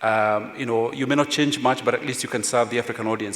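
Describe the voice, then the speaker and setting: Against noticeable background noise, a man with a Kenyan accent speaks at a medium pitch with ordinary pitch variation. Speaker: journalist, former editor. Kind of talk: panel discussion.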